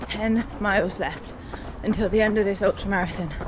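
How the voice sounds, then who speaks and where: A woman talks in a fairly high voice as noticeable background noise plays. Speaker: singer-songwriter and amateur runner vlogging. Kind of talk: vlog narration while running. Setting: outdoors.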